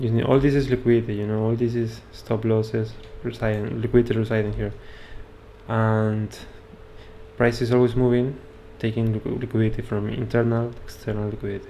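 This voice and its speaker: Noticeable background noise behind a man's medium-pitched voice with a Spanish accent, monotone and flat, fairly quick in pace, with long, frequent pauses. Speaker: trading educator. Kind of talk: live stream trading analysis. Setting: live stream with screen share. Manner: halting.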